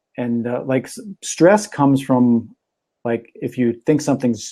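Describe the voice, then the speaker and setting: Here a man talks in a Minnesotan accent. His pitch is medium and his tone dark and mellow. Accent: Minnesota. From Minnesota, Minneapolis. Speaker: talk show host and magician. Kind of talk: casual chat.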